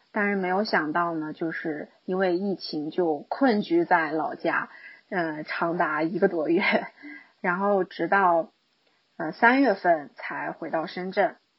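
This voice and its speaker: Her pace is very slow, and her pitch varies in an ordinary way. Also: fairly low pitch for a woman. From Guangshan, Henan, China. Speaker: high school teacher. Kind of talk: recorded personal year-end monologue.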